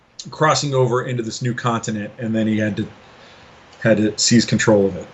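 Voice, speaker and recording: A man with an American accent and medium pitch talks at a fairly quick pace with fairly even intonation over noticeable background noise. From US, Los Angeles. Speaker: game designer. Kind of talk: interview. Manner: casual.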